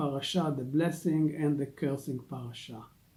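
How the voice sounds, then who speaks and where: A man with an Israeli accent speaks in a somewhat breathy voice with ordinary pitch variation. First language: Hebrew. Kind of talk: religious teaching talk. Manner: halting, many fillers.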